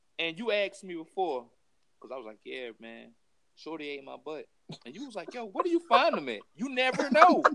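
A man raises and projects his high-pitched voice. His tone is bright and sharp, with very wide pitch swings. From US South. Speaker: military veteran. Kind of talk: casual chat. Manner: halting.

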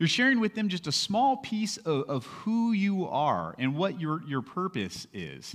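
With an American accent, the speaker goes fairly slowly with hardly any pauses and very wide pitch swings. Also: man, high pitch for a man. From California. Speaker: pastor. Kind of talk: sermon.

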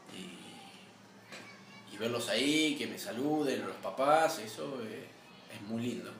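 A man is heard with noticeable background noise. Audible room echo fills the recording. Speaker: sports club vice president, former basketball coach. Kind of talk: interview.

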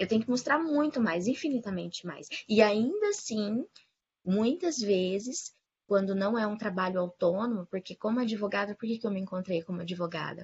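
A woman speaks in a medium pitch, somewhat breathy, with lively intonation. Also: moderate pace. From Paraná, Brazil. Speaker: lawyer. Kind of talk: casual panel discussion. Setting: online video call.

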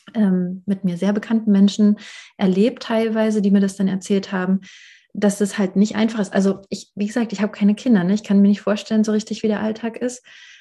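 A woman with a medium pitch and a dark, mellow, somewhat breathy tone speaks in a flat monotone on a very clean recording with a silent background. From rural Germany. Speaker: podcast host and therapist. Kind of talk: casual interview.

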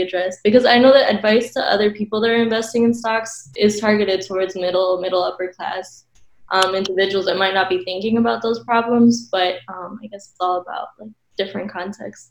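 In a normal speaking voice, the speaker moves at a fairly quick pace with fairly even intonation but big swings in loudness. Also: woman. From United States, partly raised in Ecuador. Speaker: graduate student panelist. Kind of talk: panel discussion.

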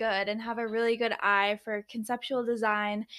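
A woman in an ordinary speaking voice, fairly high in pitch, at a moderate pace. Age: 20s. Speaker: podcast host. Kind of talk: casual interview. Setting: in person in a warehouse.

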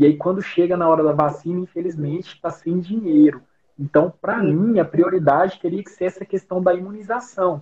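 Talking at a fairly quick pace, a man with a high pitch keeps his intonation fairly even while his loudness swings widely. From Goiás interior, Brazil (Rio Verde). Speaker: pediatrician. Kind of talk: casual chat.

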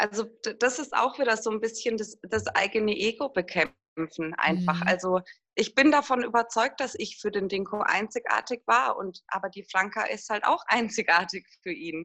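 A woman's fairly high, lively voice, a normal speaking voice at a moderate pace. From Würzburg, Lower Franconia, Germany. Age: 40s. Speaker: single mother in a patchwork family. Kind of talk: interview, personal conversation.

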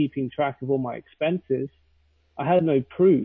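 A man with a British accent speaks at a moderate pace. His pitch is fairly high and his intonation fairly even. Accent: British, fairly posh. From London, England. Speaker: SEO consultant. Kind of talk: casual interview chat.

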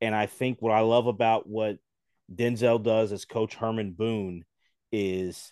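A man's unremarkable speaking voice at a medium pitch, with an American accent, a fairly slow pace and fairly even intonation, in a dry, close sound with no echo against a quiet background. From US, Philadelphia. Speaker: sports podcaster. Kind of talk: casual chat.

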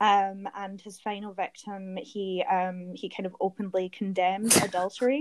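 In a Glaswegian accent, the speaker keeps a moderate pace and fairly even intonation, with big swings in loudness. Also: woman, medium pitch for a woman. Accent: Scottish, Glaswegian. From Glasgow, Scotland. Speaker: guest storyteller, true crime fan. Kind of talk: casual storytelling.

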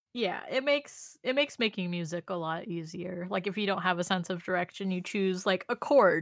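Dry and close with no echo, a woman with an American accent speaks at a medium pitch and moderate pace in a plain, everyday voice. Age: 20s. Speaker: podcast co-host. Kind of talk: casual chat.

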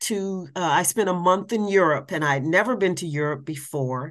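Someone with an American accent speaks with lively intonation in a normal speaking voice. The background is quiet. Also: woman. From US Midwest, Columbus, Ohio. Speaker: public speaker and caregiver. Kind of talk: casual interview.

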